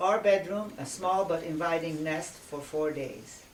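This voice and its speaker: A woman with a Hungarian accent talks at a fairly slow pace and a fairly low pitch. Noticeable background noise runs underneath. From Hungary, emigrated to Indiana at eleven. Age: 70s. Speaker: memoir author. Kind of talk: reading aloud.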